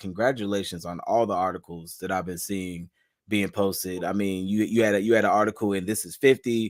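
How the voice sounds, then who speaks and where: On a very clean recording with a silent background, a man with an American accent and a plain, everyday voice talks at a fairly quick pace in a fairly low pitch, with fairly even intonation and big swings in loudness. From Charlotte, North Carolina. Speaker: podcast host. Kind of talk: casual interview.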